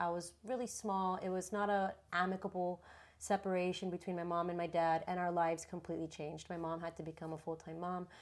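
A woman's fairly low-pitched voice in a very clean recording with a silent background. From Miami. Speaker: yoga teacher. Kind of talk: interview.

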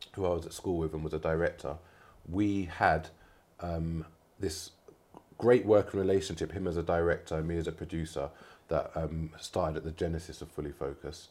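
With a London accent, a man speaks at a fairly quick pace in a very deep, low pitch with fairly even intonation, on a very clean recording with a silent background. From North London. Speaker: film producer. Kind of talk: casual interview. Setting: studio.

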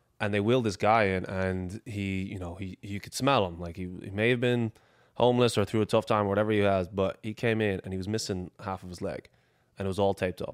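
Very fast and fairly even in intonation, the delivery shows big swings in loudness, with a dry, close sound with no echo on a very clean recording with a silent background. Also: man, fairly low pitch for a man. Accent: Irish. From Ireland, Dublin. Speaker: athlete, exercise science graduate. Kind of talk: casual chat.

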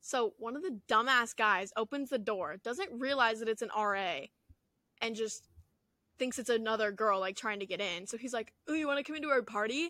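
A woman with a fairly high, bright and sharp voice speaks at a moderate pace with lively intonation, recorded very cleanly against a silent background with a dry, close sound and no echo. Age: young. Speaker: college student podcast co-host. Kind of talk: casual chat.

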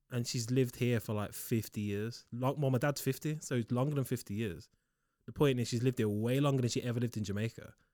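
Very fast speech comes from a man with a medium pitch and a dark, mellow tone. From Liverpool. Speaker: podcast co-host. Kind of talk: casual chat. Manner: animated.

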